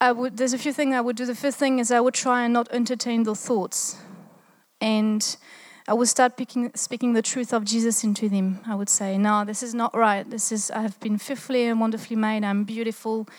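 Speaking at a fairly quick pace in a French accent, a woman with a fairly high pitch keeps a monotone, flat intonation on a very clean recording with a silent background. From France. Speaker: church speaker. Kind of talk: sermon. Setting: stage with audience.

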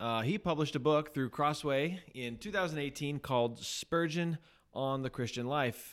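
A man with a normal speaking voice talks at a fairly quick pace with lively intonation. The recording is very clean, with a silent background. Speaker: pastor and podcast host. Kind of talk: casual chat.

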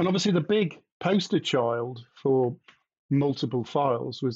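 This man has a British accent. His pitch is medium. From UK. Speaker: independent developer. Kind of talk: casual conversation.

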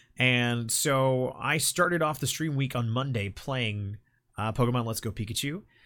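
A man's medium-pitched, bright and sharp-toned voice at a moderate pace with ordinary pitch variation, on a very clean recording with a silent background. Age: 20s. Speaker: podcaster and streamer. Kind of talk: casual solo monologue.

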